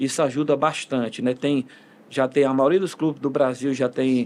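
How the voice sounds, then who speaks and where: A man is speaking at a moderate pace. His pitch is fairly high. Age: 60s. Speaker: football coach. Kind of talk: interview. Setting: podcast studio. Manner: halting, many fillers and restarts.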